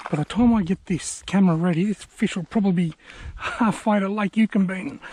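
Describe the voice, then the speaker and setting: With an Australian accent, a man speaks fairly quickly in a high pitch, his pitch varying in an ordinary way. Noticeable background noise is present. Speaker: angler. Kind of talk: live fishing commentary. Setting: outdoors.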